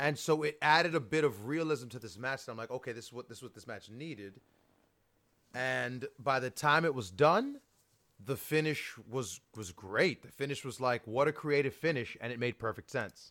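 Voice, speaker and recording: Speaking in an animated, energetic tone, a man at medium pitch shows ordinary pitch variation and big swings in loudness. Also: moderate pace. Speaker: podcast host. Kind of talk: casual banter.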